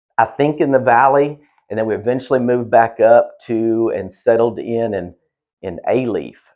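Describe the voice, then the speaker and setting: A man with a Southeast Texas accent, medium pitch, fairly even intonation and a moderate pace. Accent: Southeast Texas accent, noticeable. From Southeast Texas, Houston area. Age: 50s. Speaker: quality assurance manager. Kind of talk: podcast interview. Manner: casual, many fillers and restarts.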